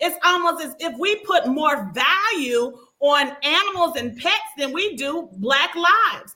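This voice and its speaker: A raised, projected voice with lively intonation. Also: woman, extremely high pitch for a woman, fairly slow pace, hardly any pauses. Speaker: show host moderator. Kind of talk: casual panel discussion. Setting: video call live show.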